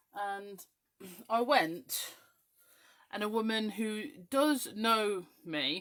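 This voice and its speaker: A woman speaks with an English accent. Her tone is animated. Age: 30s. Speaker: craft demonstrator. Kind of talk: live-stream craft chat.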